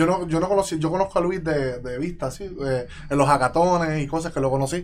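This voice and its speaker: Fairly even intonation carries through speech that moves at a very fast pace. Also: man. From Puerto Rico, Yabucoa. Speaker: self-taught software developer. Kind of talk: casual interview.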